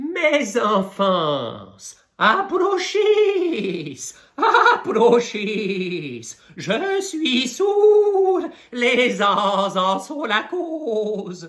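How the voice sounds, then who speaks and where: Very wide pitch swings mark a put-on character voice delivered at a very slow pace. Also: man, extremely high pitch for a man. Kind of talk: baroque declamation. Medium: solo performance. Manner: sanctimonious, sweetly deceptive.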